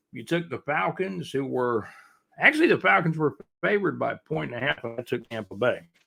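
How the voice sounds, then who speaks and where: A man with an American accent speaks in a fairly high, bright, sharp voice with vocal fry, lively intonation and big swings in loudness. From US South, Jacksonville, Florida. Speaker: podcast host. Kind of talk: casual sports talk. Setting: live stream. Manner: fast.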